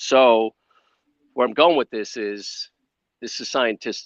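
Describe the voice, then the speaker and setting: Speaking in a plain, everyday voice with an American accent, a man uses a fairly low pitch at a moderate pace, with a dry, close sound with no echo. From US Midwest, Chicago. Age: 60s. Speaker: wellness entrepreneur, former film crew. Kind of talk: podcast interview.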